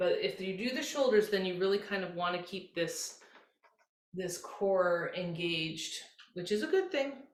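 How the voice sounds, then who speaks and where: Audible room echo surrounds a woman speaking at medium pitch in a gentle tone with ordinary pitch variation. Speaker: yoga instructor. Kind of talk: guided yoga class instruction. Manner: slow, gentle.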